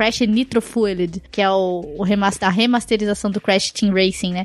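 Medium pitch and a moderate pace from a woman in an ordinary speaking voice. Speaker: podcast co-host. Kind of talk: casual chat, reading listener comments.

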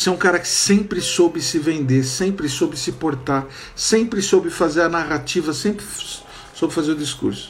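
Amid noticeable background noise and audible room echo, a man speaks at a moderate pace in a high pitch with ordinary pitch variation. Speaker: marketing consultant and online class host. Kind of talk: online lecture.

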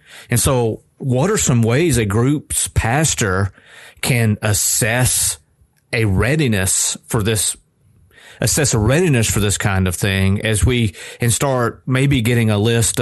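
Against a quiet background, the speech moves at a fairly slow pace with ordinary pitch variation. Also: man. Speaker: podcast host. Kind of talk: casual chat. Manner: energetic, loud; toned down today.

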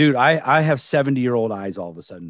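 A man with a plain, everyday voice at a medium pitch speaks with lively intonation, recorded dry and close with no echo over a quiet background. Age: 50s. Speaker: police dog trainer and podcast co-host. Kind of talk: casual chat.

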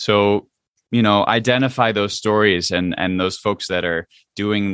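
The speaker has a New Jersey accent. The intonation stays fairly even. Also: man. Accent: American, New Jersey. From central New Jersey, US. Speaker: Broadway actor and singer. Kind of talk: interview. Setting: in theater dressing room. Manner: halting, many fillers.

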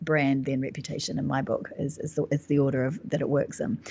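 A woman with a very deep, low voice talks rather quickly. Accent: New Zealand. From New Zealand. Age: 50s. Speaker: business mentor and author. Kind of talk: interview conversation.

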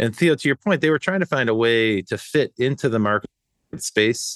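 In a normal speaking voice, a man talks at a fairly quick pace and medium pitch, with a dry, close sound, no echo and a quiet background. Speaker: podcast host. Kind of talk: casual chat.

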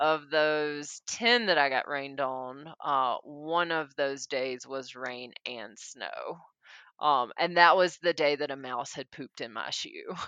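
In a dry, close recording with a quiet background, a woman with a Southern US accent talks at a very slow pace in a bright, sharp, very deep, low voice with big swings in loudness. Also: ordinary pitch variation. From US South, Mississippi. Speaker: long-distance hiker. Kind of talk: interview. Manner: hesitant, many fillers (um, uh).

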